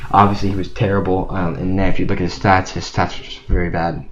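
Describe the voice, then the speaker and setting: A mumbling man with fairly even intonation and audible room echo. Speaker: sports channel youtuber. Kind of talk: casual sports commentary monologue. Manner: halting, stuttering. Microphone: cheap low-quality microphone.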